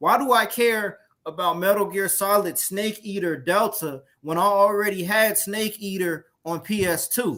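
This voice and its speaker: A man projects a raised, high-pitched voice with a bright, sharp tone. He goes at a fairly slow pace with ordinary pitch variation. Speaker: gaming show co-host. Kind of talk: casual chat.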